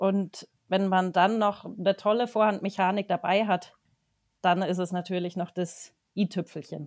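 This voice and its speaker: On a very clean recording with a silent background, a woman of medium pitch speaks at a fairly slow pace in a monotone, flat intonation. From Germany, Wertheim (Lower Franconia area). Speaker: horse riding trainer. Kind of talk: podcast interview.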